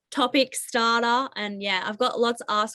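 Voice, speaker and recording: In an Australian accent, a woman speaks with fairly even intonation. Her tone is bright and sharp. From Australia (Tasmania). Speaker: college basketball player. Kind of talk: interview. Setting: video call.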